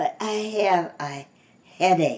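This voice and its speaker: Putting on a character voice, a woman speaks at a medium pitch with a raspy sound. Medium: read story.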